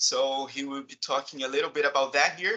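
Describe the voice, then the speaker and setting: With a Brazilian accent, the speaker keeps a moderate pace. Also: man. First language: Portuguese. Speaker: chemistry professor. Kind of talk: seminar moderation. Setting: video call. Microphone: video call.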